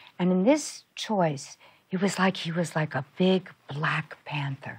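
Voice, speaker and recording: A woman's somewhat breathy, fairly low voice at a very slow pace, with ordinary pitch variation. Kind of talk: interview answer.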